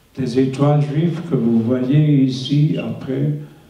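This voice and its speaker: This man's voice sits at a medium pitch and is somewhat breathy. He speaks at a very slow pace. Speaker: Holocaust survivor. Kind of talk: testimony to school students.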